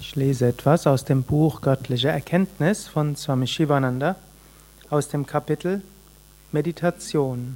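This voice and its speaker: The voice moves at a fairly slow pace with a soothing, calm tone. Long pauses come often. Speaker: yoga teacher reading a spiritual text. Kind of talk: reading aloud of spiritual text, meditation-style. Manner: calm, slow, measured; devotional, soothing, formal.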